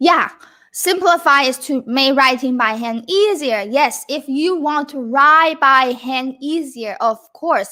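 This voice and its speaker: Speaking at a fairly slow pace with a Chinese accent, a woman projects a raised, high-pitched voice with a bright, sharp tone and lively intonation. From Taiwan. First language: Mandarin Chinese. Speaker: Mandarin teacher. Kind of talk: livestream lesson. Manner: casual, conversational.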